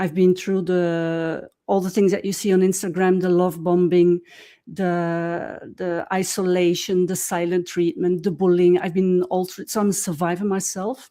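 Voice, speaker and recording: On a very clean recording with a silent background, a woman with a dark, mellow tone speaks at a fairly slow pace in a monotone, flat intonation with hardly any pauses. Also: medium pitch for a woman. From Belgium. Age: 60s. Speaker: visual artist and author. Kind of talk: interview. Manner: hesitant, with filler words.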